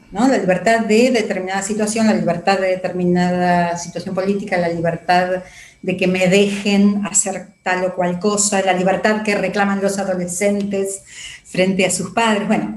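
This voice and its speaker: With noticeable background noise behind her, a woman speaks at a medium pitch and moderate pace in a monotone, flat intonation. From Argentina. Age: 60s. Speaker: psychologist. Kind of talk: interview.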